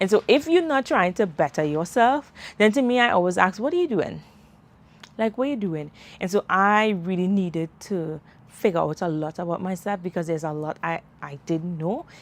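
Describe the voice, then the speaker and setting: Speaking with a Caribbean accent, a woman uses an animated tone and lively intonation at medium pitch and a moderate pace over a quiet background. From Trinidad and Tobago. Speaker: self-development podcaster and mom. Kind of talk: live stream chat. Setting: outdoors, livestream. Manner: conversational, animated.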